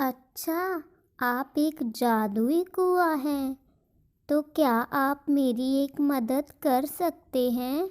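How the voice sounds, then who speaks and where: A woman uses a cartoonish character voice, high in pitch and very slow in pace. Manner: sweet, eager.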